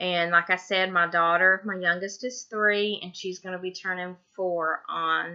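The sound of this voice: A woman speaks with a Tennessee accent at a fairly slow pace, her pitch fairly low. Her tone is bright and sharp, with fairly even intonation. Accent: Southern US, Tennessee.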